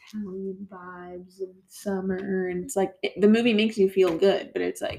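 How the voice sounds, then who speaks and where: At a moderate pace, a woman speaks in a somewhat breathy voice. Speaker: podcast host. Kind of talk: casual chat.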